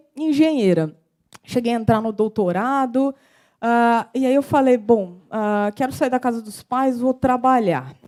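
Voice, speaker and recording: A woman with a strong São Paulo interior accent speaks slowly-ish, at a fairly slow pace, in a high pitch with a dark, mellow tone, on a very clean recording with a silent background. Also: ordinary pitch variation. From interior of São Paulo state, Brazil. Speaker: civil engineer and financial consultant. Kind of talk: short talk to an audience.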